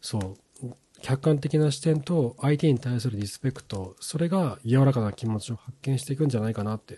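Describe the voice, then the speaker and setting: A somewhat breathy man's voice at a medium pitch, dark and mellow in tone, with big swings in loudness, ordinary pitch variation and a fairly quick pace. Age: 40s. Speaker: podcast host on marriage and couple relationships. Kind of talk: solo podcast talk. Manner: casual, with frequent filler words.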